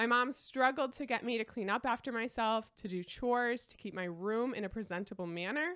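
In a Midwestern US accent, a woman speaks at a moderate pace with a fairly high pitch and a bright, sharp tone. The recording is very clean, with a silent background. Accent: US Midwest. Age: 20s. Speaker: lifestyle podcaster. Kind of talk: solo monologue.

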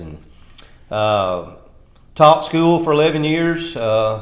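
Speaking at a fairly slow pace with a Tennessee accent, a man shows ordinary pitch variation against audible room echo. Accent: rural Tennessee Southern drawl.

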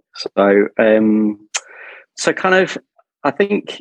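A man talks with an Australian accent and lively intonation. The sound is dry and close, with no echo. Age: 40s. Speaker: interview guest sharing life story. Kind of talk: personal testimony in interview. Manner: halting, many fillers.

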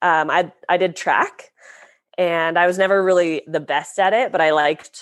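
In a normal speaking voice with an American accent, a woman talks at a moderate pace and a fairly low pitch, with ordinary pitch variation over a quiet background. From US West, Lake Tahoe, California. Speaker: professional snowboarder. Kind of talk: casual interview chat.

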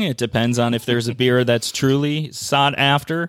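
At a fairly slow pace, a man with an ordinary speaking voice and medium pitch speaks with an American accent. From Minnesota, Saint Paul. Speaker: craft brewing trade association director. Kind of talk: interview.

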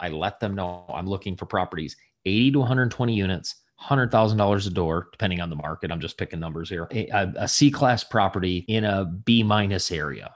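Recorded very cleanly with a silent background, a man speaks fairly quickly. He has an American accent and a fairly low pitch. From US Midwest, southwest Michigan. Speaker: real estate investor and leadership speaker. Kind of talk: podcast interview. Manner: animated.

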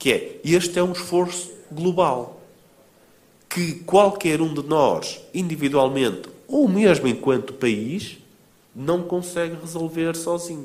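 A man with a European Portuguese accent speaks at a very slow pace in a high pitch, with ordinary pitch variation. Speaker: author and think-tank founder. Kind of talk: book presentation talk. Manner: halting, frequent repetitions and fillers.

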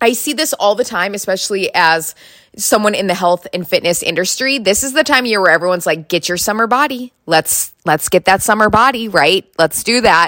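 With an Upper Midwest accent, a woman speaks at a moderate pace in a fairly high, bright, sharp voice, animated and lively in intonation, with dry, close sound and no echo. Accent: Upper Midwest American. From North Dakota. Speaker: podcast host, fitness instructor, former teacher. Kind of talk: casual solo monologue.

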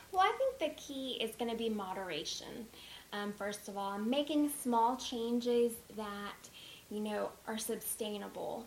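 Over noticeable background noise, a woman talks at a fairly slow pace in a fairly high pitch with ordinary pitch variation. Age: 20s. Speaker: dietitian. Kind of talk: interview.

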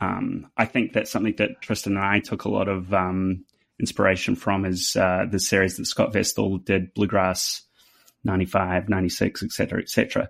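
A man with a New Zealand accent at a fairly slow pace, on a very clean recording with a silent background. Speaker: fiddle player. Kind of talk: interview, podcast chat.

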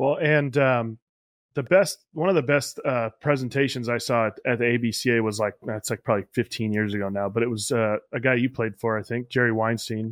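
A man with a plain, everyday voice talks at a fairly quick pace and medium pitch, with ordinary pitch variation, in dry, close sound with no echo over a quiet background. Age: 30s. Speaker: podcast host, catching coach. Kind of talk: casual interview.

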